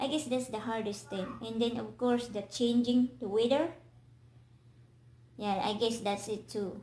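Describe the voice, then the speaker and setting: A woman with a Filipino accent speaks at a fairly slow pace with fairly even intonation and long, frequent pauses, amid audible room echo and noticeable background noise. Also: fairly high pitch for a woman. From Philippines. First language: Filipino language. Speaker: vlogger. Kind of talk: casual interview. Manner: halting.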